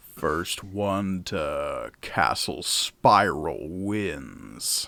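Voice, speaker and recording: In a put-on character voice pitched very deep and low, a man speaks at a very slow pace in a very clean recording with a silent background. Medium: actual play. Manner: slow, unhurried, smug.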